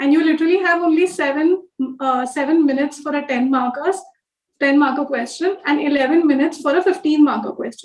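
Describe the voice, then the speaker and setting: Very fast, a woman speaks at a high pitch with ordinary pitch variation. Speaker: civil service officer giving exam guidance. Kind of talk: online class. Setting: live online class. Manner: code-switching Hindi and English.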